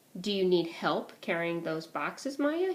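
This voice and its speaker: Using a put-on character voice, a woman speaks at a medium pitch and moderate pace with lively intonation. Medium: read story. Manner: nervous, halting.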